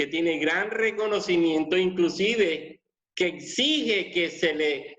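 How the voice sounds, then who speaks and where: This is a man speaking. His pitch is high. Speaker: pastor. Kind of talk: sermon.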